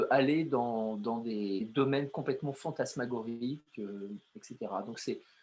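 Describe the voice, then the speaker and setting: A man speaks very slowly with lively intonation. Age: 60s. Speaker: artist and poet. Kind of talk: interview. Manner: halting, many hesitations.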